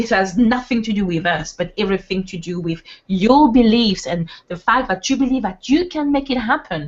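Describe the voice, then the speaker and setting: Speaking with a French accent, a woman keeps a moderate pace and lively intonation. Her voice is fairly high and somewhat breathy. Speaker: webinar co-host, network marketer. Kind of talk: motivational webinar talk. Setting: online webinar. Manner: animated.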